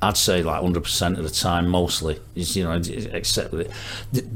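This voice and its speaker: Speaking at a fairly slow pace with a Manchester accent, a man talks in a very deep, low voice over noticeable background noise. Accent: Greater Manchester English. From northern England, Stockport. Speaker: musician. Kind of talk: casual chat.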